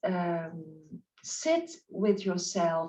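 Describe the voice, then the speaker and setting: A woman speaks with a non-native accent. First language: not English. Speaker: spiritual life coach. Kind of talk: interview. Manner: halting.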